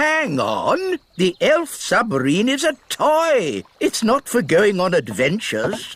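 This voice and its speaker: In a cartoonish character voice pitched extremely high, a man speaks at a fairly slow pace with hardly any pauses. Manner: fussy, flustered.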